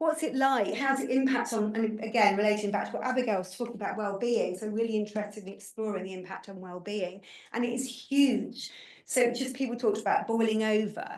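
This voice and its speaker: A woman's fairly high voice at a fairly quick pace, with ordinary pitch variation and audible room echo. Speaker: researcher presenting findings. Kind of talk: research presentation at panel event. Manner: fast; halting, many repetitions.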